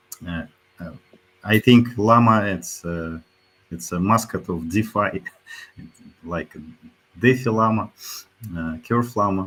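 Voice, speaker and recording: Long pauses come often as a man talks very slowly. His volume rises and drops sharply. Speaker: crypto protocol CEO and co-founder. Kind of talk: livestream AMA panel discussion. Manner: halting, many hesitations.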